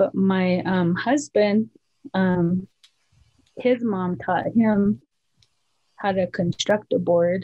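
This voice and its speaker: A woman with an American accent speaks at a very slow pace. Her voice is somewhat breathy, with long, frequent pauses. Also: ordinary pitch variation, quiet background. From US, Montana, Flathead Reservation; Montana. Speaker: cultural practitioner; interviewee. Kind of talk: interview. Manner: halting. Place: home room. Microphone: video call.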